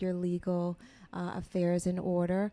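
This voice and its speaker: An unremarkable speaking voice, a woman with an American accent at medium pitch and moderate pace. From New York (Queens and Brooklyn). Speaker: entrepreneur and author. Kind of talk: live interview and Q&A. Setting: live event with audience.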